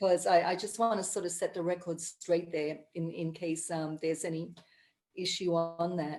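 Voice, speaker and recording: A woman speaks at a moderate pace in a fairly low pitch, her intonation monotone and flat. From Papua New Guinea. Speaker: coffee and conservation entrepreneur. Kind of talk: interview on video call. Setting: video call.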